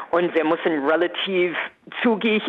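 Against noticeable background noise, a woman with an American accent speaks fairly slowly. Her fairly low voice has ordinary pitch variation. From USA. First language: English (speaking German). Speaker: entertainer. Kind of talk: radio interview. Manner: animated.

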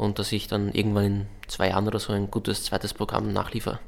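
The speaker is a man. His pitch is fairly low. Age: 20s. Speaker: comedian. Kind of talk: interview. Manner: halting, many fillers; laconic.

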